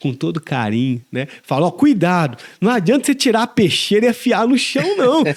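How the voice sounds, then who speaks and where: With a high pitch and very wide pitch swings, a man speaks at a moderate pace on a very clean recording with a silent background. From Brazil, southern Minas Gerais. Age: 40s. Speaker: pastor. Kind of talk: interview.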